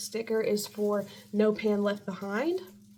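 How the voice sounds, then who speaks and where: A woman at a fairly high pitch, speaking very slowly, with noticeable background noise. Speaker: beauty vlogger. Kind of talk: product haul video. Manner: casual, filler-heavy.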